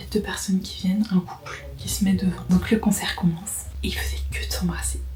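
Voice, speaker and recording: Over noticeable background noise, a woman whispers at a fairly quick pace. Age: 20s. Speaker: vlogger. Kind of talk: casual vlog storytelling. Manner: whispering; animated.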